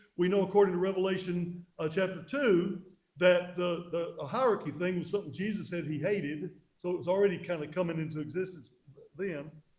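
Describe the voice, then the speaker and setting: A man with a high-pitched voice talks at a fairly quick pace. His intonation is fairly even, and the room echo is audible. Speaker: pastor. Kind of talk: church history lecture. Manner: halting.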